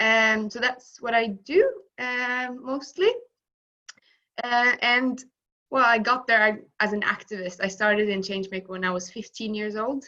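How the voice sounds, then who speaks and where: In a bright, sharp tone, the speaker goes at a fairly slow pace with long, frequent pauses and ordinary pitch variation. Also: woman, fairly high pitch for a woman. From Norway, Tønsberg. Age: 20s. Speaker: youth activist. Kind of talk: panel discussion.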